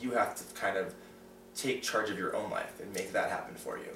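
A man talks at a fairly quick pace with audible room echo. Light background noise can be heard. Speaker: interviewee sharing coming-out experience. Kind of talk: casual interview. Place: home room. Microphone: camera far.

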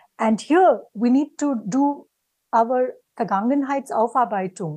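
This woman has an Indian accent and a dark, mellow tone at a fairly high pitch, with very wide pitch swings. She talks at a fairly slow pace over a quiet background. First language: Hindi. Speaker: academic panelist; panelist. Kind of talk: panel discussion. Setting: video call. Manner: halting. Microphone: video call.

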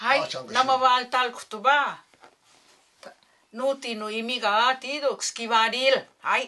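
The speech moves at a very slow pace with an Okinawan accent. Long pauses break it up frequently. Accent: Tarama dialect speaker. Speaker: dialect speaker. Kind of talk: dialect phrase demonstration. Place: home room. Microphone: camera far.

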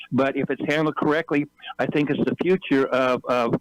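A man's fairly high voice at a fairly quick pace, an ordinary speaking voice with fairly even intonation, dry and close with no echo. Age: 60s. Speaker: public commenter at city council meeting. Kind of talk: public comment.

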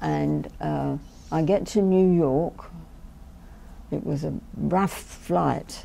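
A woman is speaking. Her speech has long, frequent pauses. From England. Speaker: war bride interviewee. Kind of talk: oral history interview. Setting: recorded interview on camera at a history center. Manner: chatty, laughs often. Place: studio. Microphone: lapel.

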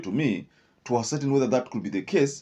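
A man with a Kenyan accent speaks in a dark, mellow tone with vocal fry. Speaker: political commentator. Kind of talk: scripted-style political commentary. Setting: online video. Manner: halting, filler-heavy. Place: studio. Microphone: studio mic.

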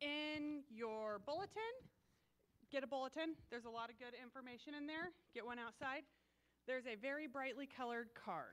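A woman talks at a moderate pace in a high pitch. Her pitch varies in an ordinary way. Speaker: church announcer. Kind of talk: church announcements. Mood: upbeat, welcoming. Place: church.

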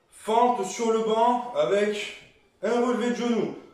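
Audible room echo surrounds a man speaking at a very slow pace in an extremely high pitch. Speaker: fitness coach. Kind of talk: workout instruction. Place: home room. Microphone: camera far.

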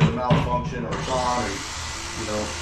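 Loud background noise fills the recording. There is also audible room echo. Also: man. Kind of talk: casual DIY vlog commentary. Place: garage. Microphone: camera far.

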